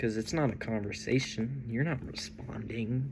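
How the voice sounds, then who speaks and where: With an American accent and some vocal fry, a man speaks in an animated tone at a moderate pace and medium pitch, with ordinary pitch variation and audible room echo. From Texas. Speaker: vlogger. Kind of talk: casual monologue. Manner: animated, rambling.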